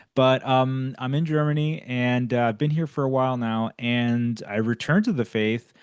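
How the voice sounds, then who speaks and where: A man with an American accent, medium pitch and ordinary pitch variation, at a moderate pace with hardly any pauses. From United States. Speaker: podcast host. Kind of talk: casual conversation. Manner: halting, many fillers and restarts.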